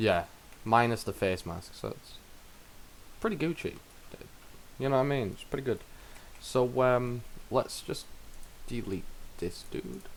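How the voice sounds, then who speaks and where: Quiet and at a fairly slow pace, a man speaks with long, frequent pauses. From United Kingdom. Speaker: game streamer. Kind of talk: live game-dev stream chat. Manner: halting, many fillers and restarts; quiet while focusing.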